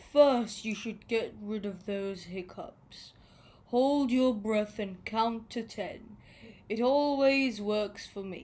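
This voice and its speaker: A female-sounding voice puts on a character voice at a fairly high pitch. The delivery is very slow. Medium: read story.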